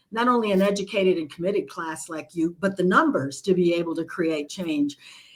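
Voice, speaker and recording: A woman speaks in a plain, everyday voice at medium pitch, at a moderate pace, with ordinary pitch variation. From United States, immigrant from Nicaragua as small child. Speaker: leadership expert and author. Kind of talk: interview conversation.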